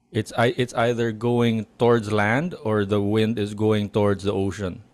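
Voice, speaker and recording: The speech moves at a fairly slow pace with very even loudness. The recording is very clean, with a silent background. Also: man, fairly low pitch for a man. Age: 40s. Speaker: podcast co-host. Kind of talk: casual chat. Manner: halting, many restarts.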